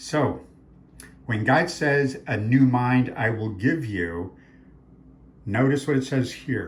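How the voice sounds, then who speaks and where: Recorded with audible room echo, a man speaks at a very slow pace in a somewhat breathy voice of medium pitch with ordinary pitch variation. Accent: American. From Arizona. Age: 60s. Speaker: author and faith speaker. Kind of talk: talk promoting his books. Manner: animated.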